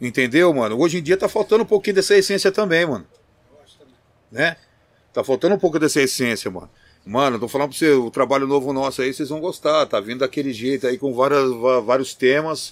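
Talking at a very fast pace, a man with fairly high pitch uses lively intonation and big swings in loudness. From Campinas, São Paulo state, Brazil. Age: 50s. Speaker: rapper, group vocalist. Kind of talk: interview chat. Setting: studio.

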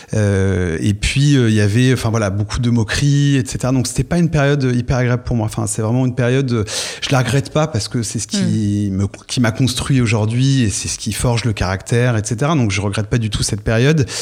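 A plain, everyday voice at a moderate pace, with ordinary pitch variation. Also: man, medium pitch for a man. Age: 30s. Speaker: podcast guest, fashion retail worker. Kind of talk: casual interview about personal love life. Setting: studio.

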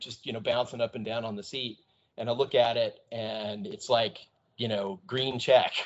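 A man with an American accent speaks in a plain, everyday voice. His pitch is medium with ordinary variation, and his pace is fairly quick. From US South and Midwest (Georgia, Iowa, Texas). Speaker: pilot in training. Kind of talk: casual interview.

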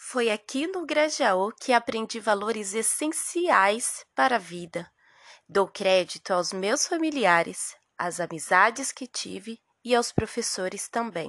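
The pace is very slow, and the pitch swings very widely. The sound is dry and close with no echo, over a quiet background. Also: woman, fairly high pitch for a woman. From Brazilian Northeast, raised in São Paulo. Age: 30s. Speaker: public school teacher and podcast host. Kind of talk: scripted narration.

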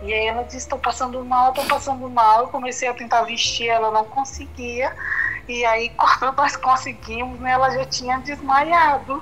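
Her voice is high for a woman and flat, in a monotone delivered at a moderate pace. Noticeable background noise runs underneath. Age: 20s. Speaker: interviewee sharing personal story. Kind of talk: interview.

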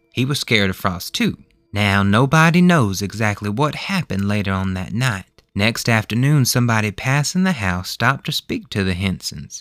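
A man talks at a moderate pace with hardly any pauses, his tone warm and gentle, on a very clean recording with a silent background and a dry, close sound with no echo. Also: fairly low pitch for a man, lively intonation. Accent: Southern US. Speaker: podcast host and storyteller. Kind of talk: bedtime ghost story reading aloud, narrated folk tale. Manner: folksy, warm, storytelling cadence with Southern dialect; measured and gentle, building suspense.

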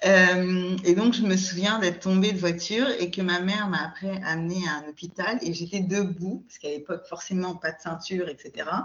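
Over noticeable background noise, a woman with a medium pitch talks at a moderate pace with hardly any pauses, her intonation fairly even and her loudness swinging a lot. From France, Paris region. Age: 40s. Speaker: podcast guest. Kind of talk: casual chat. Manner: hesitant, many filler sounds.

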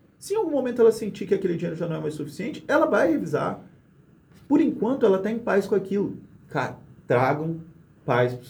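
A man speaks at a high pitch and a very fast pace, with very wide pitch swings. Long, frequent pauses break up his speech. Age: 20s. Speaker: lawyer. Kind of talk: casual interview chat. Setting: studio.

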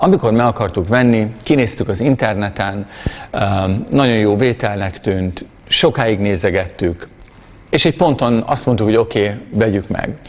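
Against noticeable background noise, a man talks at a moderate pace with a fairly low pitch and ordinary pitch variation. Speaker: preacher. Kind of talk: sermon.

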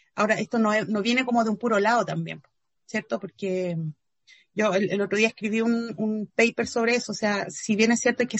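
At a fairly quick pace, a woman with a Chilean accent talks in a somewhat breathy, fairly high voice. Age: 40s. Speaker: feminist activist and philosopher. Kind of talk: interview.

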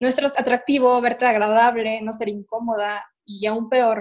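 A woman speaks with a fairly high voice. Her intonation is monotone and flat. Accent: Mexican. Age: 20s. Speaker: podcast host. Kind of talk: casual chat. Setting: at home.

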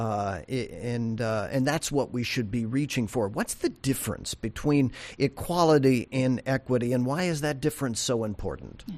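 A man with an ordinary speaking voice at medium pitch, ordinary pitch variation, moderate pace and hardly any pauses, over a quiet background. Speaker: podcast host for banking agency. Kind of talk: interview. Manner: formal.

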